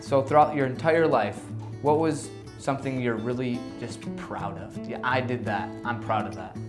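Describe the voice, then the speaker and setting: With music in the background, a man speaks at a moderate pace in a medium pitch, his pitch varying normally and his loudness swinging widely. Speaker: interviewer. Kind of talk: interview questions.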